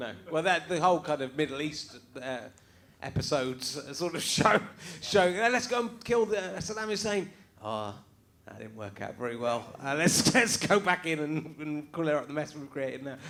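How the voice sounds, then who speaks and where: Against noticeable background noise, a man with a fairly high pitch speaks at a moderate pace, his pitch swinging very widely. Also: big swings in loudness. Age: middle-aged. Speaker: comedian, podcast host. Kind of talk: casual conversation.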